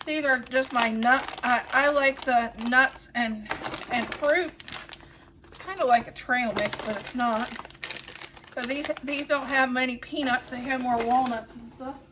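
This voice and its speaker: A raised, projected voice with an American accent speaks fairly slowly and with fairly even intonation, its loudness swinging widely over noticeable background noise. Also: woman, high pitch for a woman. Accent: Ohio accent, noted by a viewer. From Ohio. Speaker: home cleaning vlogger. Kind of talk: casual vlog tutorial. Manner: casual, halting with restarts.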